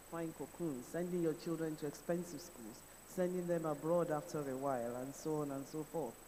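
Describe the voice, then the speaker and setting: A dark, mellow tone moves at a fairly quick pace with ordinary pitch variation, and room echo is audible. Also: man. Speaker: conference speaker. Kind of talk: conference speech.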